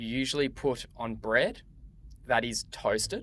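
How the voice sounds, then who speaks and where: Speaking with an Australian accent, a man has a medium pitch and a bright, sharp tone. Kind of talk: podcast-style conversation for English learners. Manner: slow, clear.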